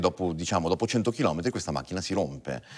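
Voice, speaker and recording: Lively intonation runs through a man's very deep, low voice at a fairly quick pace, with faint music in the background. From Italian origin. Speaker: violinist; guest. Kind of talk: TV interview. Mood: calm, thoughtful. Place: studio. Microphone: lapel.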